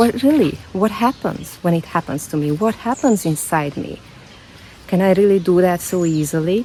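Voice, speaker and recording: Over noticeable background noise, a woman with a non-native accent talks at a fairly slow pace with lively intonation. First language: not English. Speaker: self-development vlogger. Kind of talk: personal vlog monologue. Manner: halting, repeats words.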